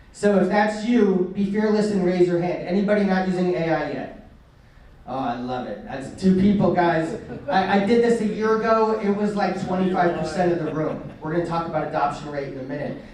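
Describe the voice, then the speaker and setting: With audible room echo and noticeable background noise, a man talks at a fairly quick pace in a high pitch with ordinary pitch variation. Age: 40s. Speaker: marketing agency owner, speaker. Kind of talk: presentation to business group. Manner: fast; energetic.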